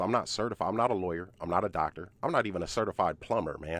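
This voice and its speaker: The background stays quiet as a man speaks, his pitch varying in an ordinary way. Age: 40s. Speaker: real estate investor and coach. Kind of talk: casual chat. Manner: animated.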